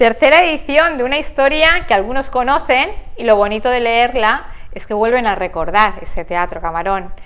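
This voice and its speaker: Very wide pitch swings at a moderate pace, over noticeable background noise. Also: woman, high pitch for a woman. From Spain, Segorbe. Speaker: TV interviewer. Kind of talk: interview.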